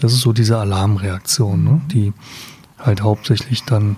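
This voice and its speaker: Noticeable background noise sits behind this recording. A man talks at a medium pitch and a fairly slow pace. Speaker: psychotherapist. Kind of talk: interview.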